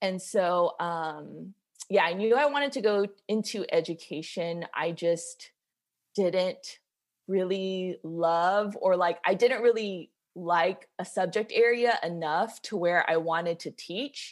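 In a very clean recording with a silent background, a woman with an American accent talks very slowly at a medium pitch, with ordinary pitch variation. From US South, Georgia (Macon). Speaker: high school counselor. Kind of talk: casual chat.

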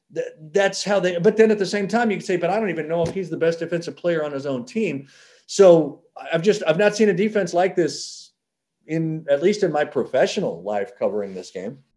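With an American accent, a man talks at a fairly quick pace in a high voice with a dark, mellow tone and ordinary pitch variation. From Oklahoma. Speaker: college football analyst. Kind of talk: interview. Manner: halting, repeats words.

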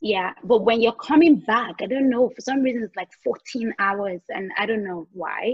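A woman's fairly high, somewhat breathy voice at a moderate pace, with ordinary pitch variation. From Nigeria. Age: 30s. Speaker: makeup artist and beauty brand founder. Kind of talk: casual interview chat.

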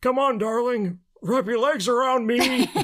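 A put-on character voice is pitched fairly high. It moves at a moderate pace. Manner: forced, exaggerated.

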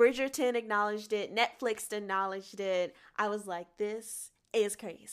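A normal speaking voice with fairly even intonation moves at a moderate pace on a very clean recording with a silent background. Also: woman, fairly high pitch for a woman. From US South, Atlanta, Georgia. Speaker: singer and actress. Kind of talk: casual interview chat.

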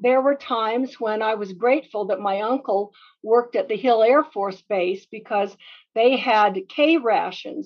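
In an American accent, a woman with fairly high pitch, ordinary pitch variation and big swings in loudness speaks in an unremarkable speaking voice. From Utah, US. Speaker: business consultant. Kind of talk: interview.

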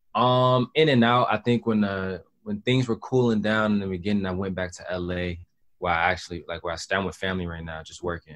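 An ordinary speaking voice at a fairly quick pace, with ordinary pitch variation, big swings in loudness and a quiet background. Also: man, fairly low pitch for a man. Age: 20s. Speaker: rapper. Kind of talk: casual interview.

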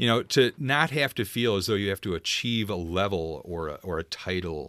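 A normal speaking voice, moving at a moderate pace with lively intonation. The recording is very clean, with a silent background. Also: man. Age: 50s. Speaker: hospital emergency manager. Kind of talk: interview.

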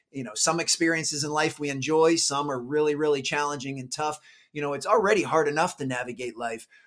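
The man's pitch sits fairly high and shows ordinary pitch variation. He talks at a very fast pace. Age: 40s. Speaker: performance coach and motivational speaker. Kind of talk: interview conversation. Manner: filler-heavy with frequent repetitions.

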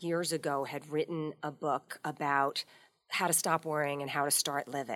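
Her intonation is fairly even. The woman's voice is very deep and low. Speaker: media trainer and author. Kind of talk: casual chat.

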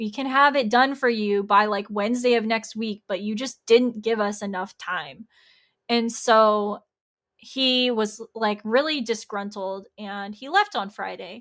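Big swings in loudness mark a voice moving at a fairly slow pace with ordinary pitch variation. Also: woman, fairly high pitch for a woman, very clean recording, silent background. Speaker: podcast host and graphic designer. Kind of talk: casual solo podcast monologue. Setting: video podcast recording. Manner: loud and talkative.

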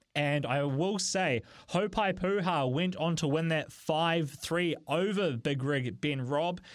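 This man speaks with a New Zealand accent and ordinary pitch variation. The recording is very clean, with a silent background. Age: 20s. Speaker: radio host. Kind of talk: radio show.

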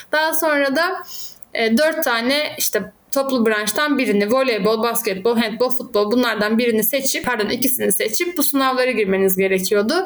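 The intonation is lively and the loudness very even. Noticeable background noise can be heard. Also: woman, high pitch for a woman, moderate pace. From Turkey, Izmir. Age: 30s. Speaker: academic and handball coach. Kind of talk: interview conversation.

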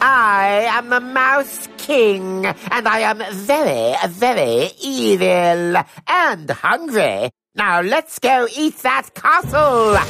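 Faint music plays behind a put-on character voice from a female-sounding speaker, pitched fairly high and delivered at a very slow pace. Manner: pompous, greedy villain, comic.

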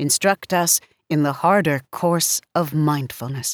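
A woman speaks in a very deep, low pitch with a solemn tone at a very slow pace. The sound is dry and close, with no echo. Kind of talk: poetry reading, read aloud. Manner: measured, solemn, deliberate.

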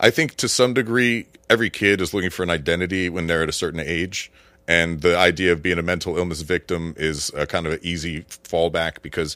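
Very fast speech with an American accent, a bright, sharp tone and ordinary pitch variation, on a very clean recording with a silent background. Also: man. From Florida. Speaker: army veteran. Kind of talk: casual chat.

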